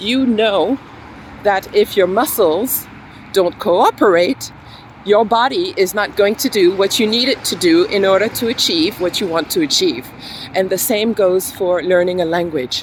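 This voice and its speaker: Over noticeable background noise, a woman with an American accent speaks at a fairly slow pace, medium in pitch and lively in intonation. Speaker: English teacher. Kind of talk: tutorial.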